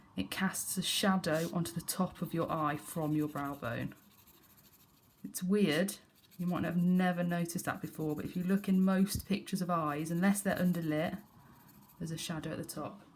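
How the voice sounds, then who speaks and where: A woman talks in a fairly low pitch. Her voice is somewhat breathy. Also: fairly even intonation, moderate pace. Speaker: art teacher. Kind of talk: tutorial.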